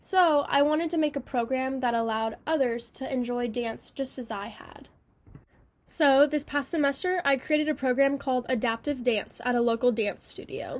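An American accent at a moderate pace with ordinary pitch variation. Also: woman, high pitch for a woman. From California. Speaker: student. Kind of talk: scripted narration.

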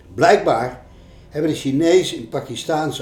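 Noticeable background noise runs through the clip. The pitch varies in an ordinary way. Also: man. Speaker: change management consultant and author. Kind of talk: narration of travel stories.

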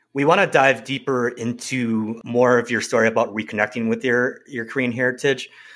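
A man with a normal speaking voice and a medium pitch talks at a fairly quick pace with hardly any pauses and fairly even intonation, in a very clean recording with a silent background. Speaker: podcast co-host, Korean adoptee. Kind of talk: casual chat.

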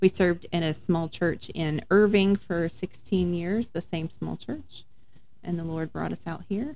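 Talking with a Texan accent, a woman uses a fairly low pitch, a dark, mellow tone and ordinary pitch variation at a fairly slow pace. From Dallas-Fort Worth, Texas. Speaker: minister's wife, podcast co-host. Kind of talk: casual chat. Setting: home study.

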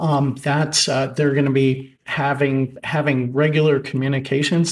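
Against a quiet background, a man with a fairly high pitch speaks in a somewhat breathy voice with monotone, flat intonation. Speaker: supreme court justice. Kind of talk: judicial questioning during oral argument. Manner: thoughtful, hesitant with fillers.

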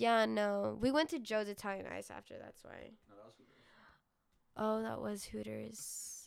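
A woman with an American accent at a fairly slow pace, with big swings in loudness. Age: 20s. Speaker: podcast host, college student. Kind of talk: casual solo chat. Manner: rambling, filler-heavy.

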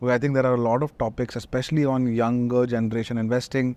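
Monotone and flat, a man's medium-pitched voice moves at a fairly quick pace. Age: 30s. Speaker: podcast host. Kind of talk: interview conversation.

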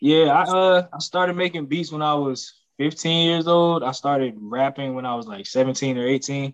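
A man with an unremarkable speaking voice talks at a moderate pace with ordinary pitch variation and hardly any pauses. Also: fairly high pitch for a man. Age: 30s. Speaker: rapper and record label owner. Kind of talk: casual interview.

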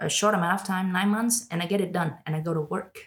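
A woman speaks with fairly even intonation at a fairly low pitch. Her voice is somewhat breathy. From Vietnam, Ho Chi Minh City. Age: 20s. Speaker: podcast guest. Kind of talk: casual chat. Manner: code-switching Vietnamese and English.

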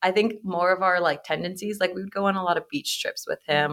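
A woman talks at a fairly quick pace in a bright, sharp tone. Her intonation stays fairly even. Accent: Pacific Northwest. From Portland, Oregon. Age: 20s. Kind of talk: casual chat.

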